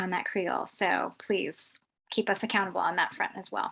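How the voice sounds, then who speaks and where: A woman with an American accent talks at a fairly quick pace in a very clean recording with a silent background. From US South, New Orleans. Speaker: tech founder and CEO. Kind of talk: presentation. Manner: fast.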